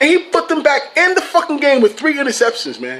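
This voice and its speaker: A man talks in a raised, projected voice with an animated tone. His pace is fairly quick and his pitch variation ordinary. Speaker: sports vlogger. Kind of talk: casual vlog commentary. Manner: animated, swearing rant.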